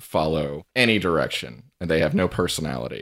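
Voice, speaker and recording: On a very clean recording with a silent background, a man with a very deep, low pitch and vocal fry speaks with lively intonation. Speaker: podcast guest, TV series fan. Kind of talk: casual podcast chat.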